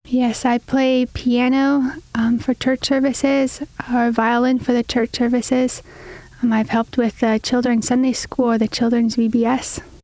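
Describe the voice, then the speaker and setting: In an American accent, a woman with a high voice speaks at a fairly slow pace, monotone and flat, her loudness very even, the sound dry and close with no echo amid noticeable background noise. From Minnesota. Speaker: missionary candidate. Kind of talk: interview. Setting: studio.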